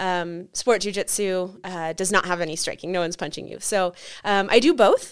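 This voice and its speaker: Heard in a very clean recording with a silent background, a woman with an American accent and a plain, everyday voice speaks at a moderate pace and medium pitch with ordinary pitch variation. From Nevada, US (Carson City). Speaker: martial arts instructor and author. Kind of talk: interview. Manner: frequent filler ums.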